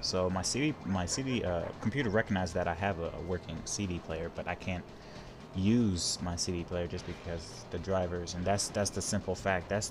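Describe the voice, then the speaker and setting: A man speaks with a very deep, low pitch and ordinary pitch variation. Music is in the background. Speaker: gaming YouTuber. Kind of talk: let's play commentary. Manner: fast; rambling, halting.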